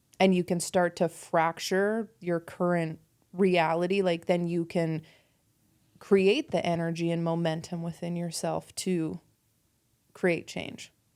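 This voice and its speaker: At a fairly slow pace and in a flat monotone, the speaker talks with a Canadian accent in a very clean recording with a silent background. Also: woman, fairly low pitch for a woman. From Canada, rural Alberta. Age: 30s. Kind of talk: casual chat.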